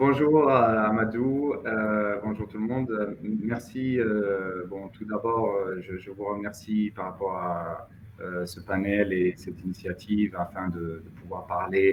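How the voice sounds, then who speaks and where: Speaking at a very slow pace, a man with a fairly low pitch shows ordinary pitch variation and big swings in loudness. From Mauritania. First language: Hassaniya Arabic (speaking French). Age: 30s. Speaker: finance professional. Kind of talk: interview. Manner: hesitant, many fillers.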